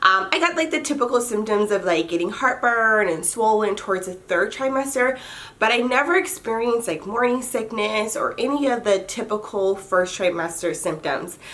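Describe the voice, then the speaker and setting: A woman's normal speaking voice, fairly high in pitch, with lively intonation, a moderate pace and hardly any pauses. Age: 30s. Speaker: lifestyle vlogger and mother. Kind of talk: casual vlog monologue. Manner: chatty, informal with fillers.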